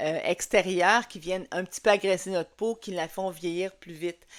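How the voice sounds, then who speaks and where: A woman with a fairly low pitch talks at a fairly slow pace in a very clean recording with a silent background. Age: 60s. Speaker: skincare consultant. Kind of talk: tutorial. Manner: halting, many fillers.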